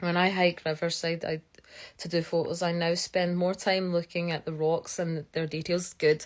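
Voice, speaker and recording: A woman with a Scottish accent at a fairly quick pace, on a very clean recording with a silent background. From Scotland. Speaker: geologist. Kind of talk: live stream chat. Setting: live stream. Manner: fast; animated.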